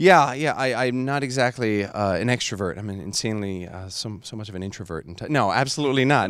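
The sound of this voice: A man speaks at a fairly quick pace with a fairly low pitch and ordinary pitch variation. His tone is fairly bright.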